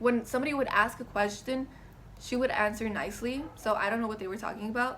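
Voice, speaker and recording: Fairly high-pitched woman's voice amid noticeable background noise and audible room echo. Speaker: college student. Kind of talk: class speech presentation. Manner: shaky when nervous.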